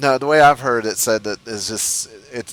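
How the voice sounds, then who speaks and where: A man talks at a moderate pace with an American accent and fairly even intonation. Noticeable background noise runs behind him. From United States. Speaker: gamer. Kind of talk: casual chat.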